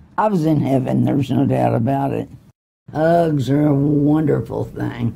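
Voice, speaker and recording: A woman speaks at a very slow pace with vocal fry. Her pitch is very deep and low, her tone dark and mellow. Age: 80s+. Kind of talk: interview answer.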